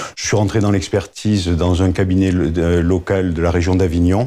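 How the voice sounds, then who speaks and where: Over a very clean recording with a silent background, a man with a southern French accent speaks at a fairly quick pace in a very deep, low pitch with a dark, mellow tone. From southern France, Montpellier. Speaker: agricultural insurance claims director. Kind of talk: interview. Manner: hesitant, many filler words.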